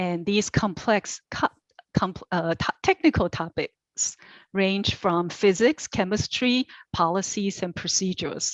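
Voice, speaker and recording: Her voice sits at a medium pitch. The rise and fall in it is ordinary. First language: not English. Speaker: commission applicant. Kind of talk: interview answer. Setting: virtual meeting. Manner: deliberate, tries not to rush.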